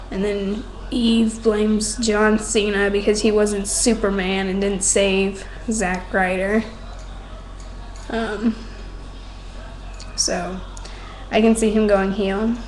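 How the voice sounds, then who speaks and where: A quiet woman at a medium pitch, very slow and flat in intonation, with long, frequent pauses, audible room echo and noticeable background noise. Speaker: wrestling fan vlogger. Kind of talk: casual webcam monologue. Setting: home at night, others asleep.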